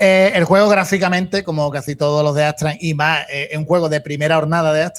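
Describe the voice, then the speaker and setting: A man with a plain, everyday voice speaks at a fairly quick pace with hardly any pauses. His pitch is fairly high and his intonation fairly even. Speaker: retro video game streamer. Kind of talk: casual chat.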